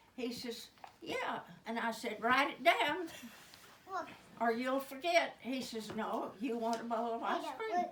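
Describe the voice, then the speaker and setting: Speaking with an American accent in a high voice, a woman keeps a fairly slow pace with long, frequent pauses and ordinary pitch variation, and audible room echo surrounds her. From Oklahoma. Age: 80s+. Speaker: comedian. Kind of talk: stand-up.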